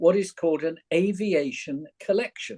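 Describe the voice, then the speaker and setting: A high-pitched man's voice with a southern English accent, dry and close with no echo. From London. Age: 70s. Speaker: retired actor and teacher. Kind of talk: interview. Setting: recorded podcast.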